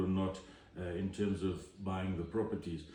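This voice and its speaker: The voice moves at a moderate pace with audible room echo. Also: man. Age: 60s. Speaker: home inspector. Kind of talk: interview. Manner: hesitant, many fillers.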